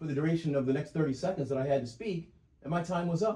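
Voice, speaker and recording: This man's voice is fairly high-pitched yet dark and mellow in tone, and he talks at a very fast pace. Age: 60s. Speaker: self-represented litigant. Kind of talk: courtroom oral argument. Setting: courtroom hearing. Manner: halting, repeats words.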